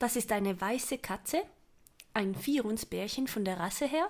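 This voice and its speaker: A woman's fairly high-pitched voice comes through on a very clean recording with a silent background. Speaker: role-play player. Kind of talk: casual chat.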